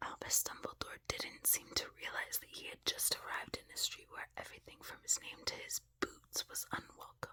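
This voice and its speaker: Whispering at a moderate pace with hardly any pauses and big swings in loudness. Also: woman. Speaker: ASMR creator. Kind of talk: reading aloud.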